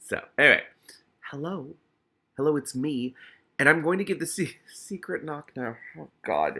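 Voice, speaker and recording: On a very clean recording with a silent background, a man with a fairly high pitch and a bright, sharp tone speaks with vocal fry. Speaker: book reader with commentary. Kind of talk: reading aloud with commentary. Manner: halting.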